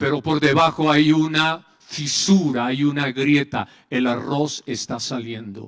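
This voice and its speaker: The clip carries a normal speaking voice that shows ordinary pitch variation. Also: man. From Colombia, Medellín. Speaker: pastor and psychologist. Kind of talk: conference speech.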